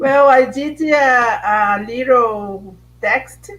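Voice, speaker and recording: A woman speaks with a Brazilian accent. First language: Portuguese. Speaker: filmmaker and lecturer.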